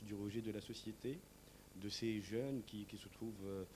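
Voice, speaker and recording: A man speaks with a dark, mellow tone and a fairly low pitch. His intonation is monotone and flat, and his pace is fairly slow. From Tunisia. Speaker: stage actor. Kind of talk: interview. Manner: hesitant, many fillers.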